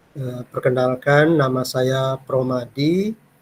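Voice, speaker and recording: Here a man speaks at a very slow pace. His pitch varies in an ordinary way. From Kampar, Riau, Indonesia. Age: 50s. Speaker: university lecturer. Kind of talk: lecture. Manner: hesitant with fillers.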